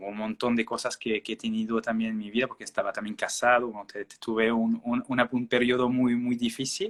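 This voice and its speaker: A man speaks in a French accent at a medium pitch with fairly even intonation. The sound is dry and close, with no echo. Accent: French-speaking accent in Spanish. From Belgium. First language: French (speaking Spanish). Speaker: naturopath. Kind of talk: interview. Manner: halting, many fillers.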